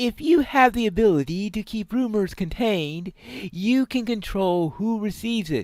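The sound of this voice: What we hear is a reading voice that sounds unforced.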